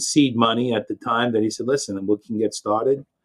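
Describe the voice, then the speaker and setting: With a strong New York accent, a man speaks at a medium pitch. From New York, Long Island. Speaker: IT company founder. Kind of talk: interview.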